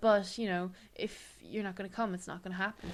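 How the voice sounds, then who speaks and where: Speaking in an Irish accent, a woman talks at a fairly quick pace. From Ireland. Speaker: podcast co-host. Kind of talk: casual chat. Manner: animated.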